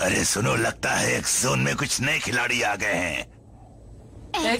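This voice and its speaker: A man does a raspy, put-on character voice at a fairly slow pace, his loudness very even, with clear background noise behind him. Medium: fan dub. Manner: taunting, condescending.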